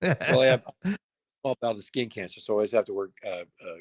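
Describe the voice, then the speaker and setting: Dry and close with no echo, a man with an American accent talks at a fairly quick pace. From US West (Los Angeles). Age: 60s. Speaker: filmmaker. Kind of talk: interview.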